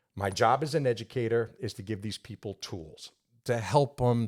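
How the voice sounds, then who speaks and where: A man speaks at a moderate pace with a New York accent. The recording is very clean, with a silent background. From New York, Long Island. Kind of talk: interview conversation.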